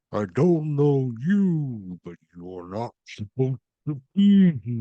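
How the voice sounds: Using a put-on character voice, a man at medium pitch speaks very slowly with very wide swings in pitch.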